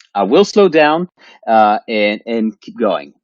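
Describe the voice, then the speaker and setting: This man has a medium pitch. His intonation is lively. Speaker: professor of nutrition sciences. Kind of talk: lecture. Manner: hesitant with fillers.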